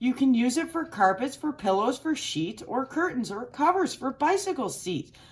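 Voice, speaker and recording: Using a put-on character voice, a woman speaks at a high pitch and a moderate pace with hardly any pauses. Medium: read story.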